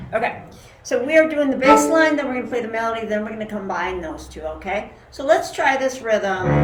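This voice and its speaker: Music plays behind a woman whose fairly high voice makes very wide pitch swings and big swings in loudness. She talks at a fairly quick pace, and the room echo is audible. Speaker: cello teacher. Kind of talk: live online music lesson.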